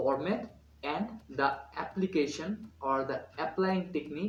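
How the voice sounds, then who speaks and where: A man with a Bengali accent speaks in a somewhat breathy voice with ordinary pitch variation. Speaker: student vlogger. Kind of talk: vlog tutorial. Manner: halting with many fillers.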